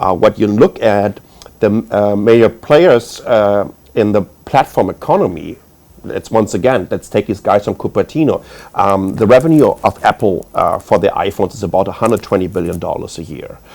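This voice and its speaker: The pace is moderate. This man has a German accent. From Germany. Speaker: tech executive panelist. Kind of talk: panel discussion.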